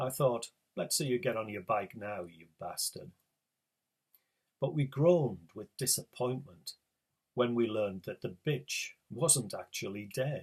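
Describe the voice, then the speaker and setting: Speaking in a northeast English accent, a man with a medium pitch sounds somewhat breathy. He talks at a fairly slow pace with lively intonation. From northeast England. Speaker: writer. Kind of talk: reading aloud.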